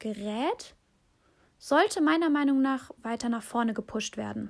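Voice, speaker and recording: With an animated tone, a woman talks at a high pitch and a fairly slow pace. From Aachen, Germany. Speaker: podcast host. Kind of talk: casual podcast monologue and interview.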